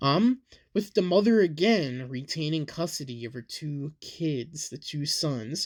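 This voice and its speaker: Delivered at a very slow pace, the speech comes through in a very clean recording with a silent background. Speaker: true crime podcast host. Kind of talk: casual podcast narration with reading. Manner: loud; casual, filler-heavy.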